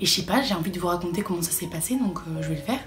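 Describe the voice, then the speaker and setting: A woman's very fast speech against noticeable background noise. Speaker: vlogger, student. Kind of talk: casual vlog.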